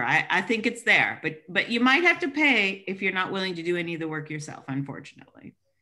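Her tone is bright and sharp, with lively intonation. The woman is heard against a quiet background. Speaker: audience member in film discussion. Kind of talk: casual group discussion. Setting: video call. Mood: thoughtful, mildly surprised. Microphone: video call.

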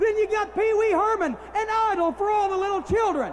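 Against crowd noise in the background, a man with an extremely high pitch talks at a moderate pace with ordinary pitch variation. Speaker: wrestling manager. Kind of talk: wrestling promo. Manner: brash, mocking.

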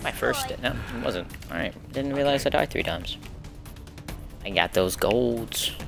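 A man talks at a fairly slow pace with long, frequent pauses. Clear music plays in the background. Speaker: gamer, YouTuber. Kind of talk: casual gameplay commentary to camera. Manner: whispered, quiet. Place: home room.

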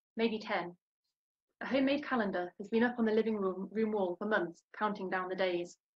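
A woman with a fairly high, somewhat breathy voice speaks at a moderate pace with ordinary pitch variation. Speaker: literary translator. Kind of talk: panel discussion. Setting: video call. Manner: enthusiastic. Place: home room. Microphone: webcam.

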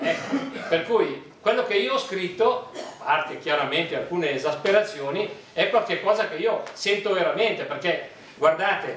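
A man speaks with a high pitch. Light background noise and audible room echo surround him. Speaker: dialect poet. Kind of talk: book presentation talk. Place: hall.

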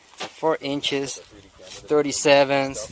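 Over light background noise, a man speaks at a very slow pace in a dry sound with no echo. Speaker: trail vlogger. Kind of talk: casual vlog chat. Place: open country. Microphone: phone near.

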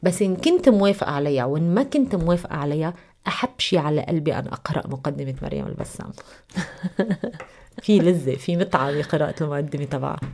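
Her very deep, low voice has a dark, mellow tone and ordinary pitch variation as this woman speaks. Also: moderate pace. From Lebanon. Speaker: TV news anchor. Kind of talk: radio interview. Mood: calm, explanatory. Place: studio. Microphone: studio mic.

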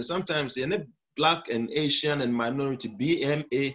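A man with a Ghanaian accent speaks at a fairly high pitch. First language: Twi. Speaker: pastor. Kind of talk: sermon. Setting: church.

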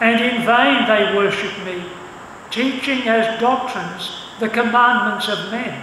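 Over noticeable background noise, a man projects a raised voice at an extremely high pitch. He goes at a fairly slow pace with fairly even intonation. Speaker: church service announcer and scripture reader. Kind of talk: announcements and scripture reading. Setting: church.

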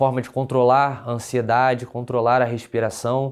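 A man at medium pitch and a fairly slow pace, against a quiet background. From Brazil, Rio de Janeiro city. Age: 30s. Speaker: lawyer and police exam candidate; lawyer, candidate. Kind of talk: testimonial interview. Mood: relieved, content. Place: studio. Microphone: lapel.

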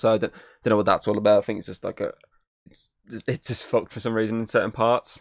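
A man's fairly low-pitched voice in a monotone, flat intonation against a quiet background. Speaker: podcast host. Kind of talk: casual game review chat. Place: home room. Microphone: studio mic.

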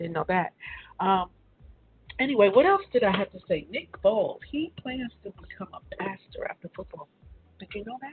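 A woman with a raspy voice and a husky, rough edge talks at a moderate pace and medium pitch, making big pitch swings.

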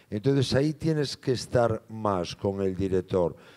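A dark, mellow tone comes through against a quiet background. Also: man. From Galicia, Spain. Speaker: film actor. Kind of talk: Q&A at a film screening. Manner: halting, repeats words. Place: hall. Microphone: handheld.

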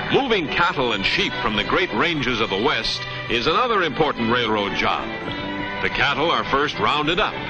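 Moderately paced male speech over clear background music. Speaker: newsreel narrator. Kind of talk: 1950s promotional newsreel narration. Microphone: old recording.

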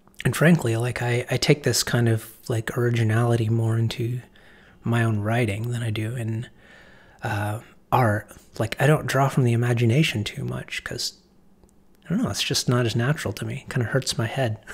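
A soft-spoken, somewhat breathy man at a medium pitch, with fairly even intonation and a fairly quick pace. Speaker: art teacher and writer. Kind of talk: casual talk to camera.

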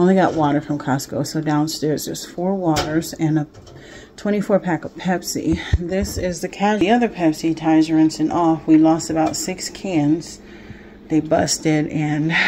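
There is noticeable background noise behind this woman. Her pitch is very deep and low, her intonation fairly even and her pace moderate. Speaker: vlogger. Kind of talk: casual vlog chat. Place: kitchen. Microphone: phone near.

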